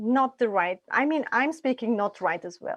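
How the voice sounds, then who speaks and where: In a quiet background, a woman with a non-native accent speaks in a high voice, the sound dry and close with no echo. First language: not English. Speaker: immigrant parent panelist. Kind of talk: online Q&A panel.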